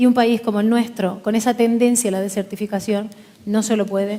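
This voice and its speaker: A woman speaks at a fairly high pitch. Her pace is moderate and her intonation monotone and flat. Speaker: politician. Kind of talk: panel forum speech. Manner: formal.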